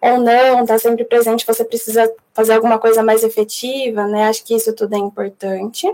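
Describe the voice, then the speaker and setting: A woman speaks at a moderate pace and a fairly high pitch. Her intonation is monotone and flat. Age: 20s. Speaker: psychologist and UX designer. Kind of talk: recorded talk; live Q&A. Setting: online live event.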